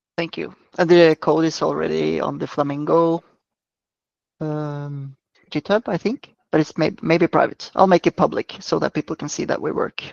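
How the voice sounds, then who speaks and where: The pace is moderate. The speaker has a non-native accent. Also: quiet background. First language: not English. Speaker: software developer. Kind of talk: online meeting discussion.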